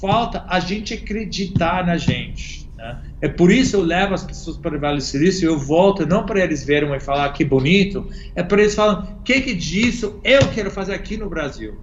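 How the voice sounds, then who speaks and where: A man with an American accent talks at a moderate pace in a high pitch, with ordinary pitch variation, noticeable background noise and audible room echo. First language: English (speaking Portuguese). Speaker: innovation consultant. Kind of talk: interview.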